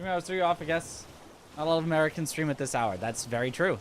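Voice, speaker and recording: A man speaks with an unremarkable speaking voice. His pitch is fairly high and his intonation lively. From US Pacific Northwest. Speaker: video game streamer and speedrunner. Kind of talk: live stream chat.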